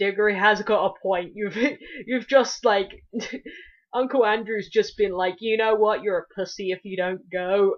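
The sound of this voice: Someone reads in an unforced reading voice with ordinary pitch variation.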